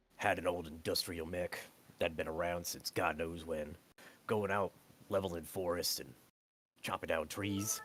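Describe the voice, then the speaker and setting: Putting on a character voice, a man talks in a very deep, low, raspy pitch at a moderate pace, with music in the background. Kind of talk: profane folksy banter. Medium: actual play. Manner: rambling, crude, self-interrupting.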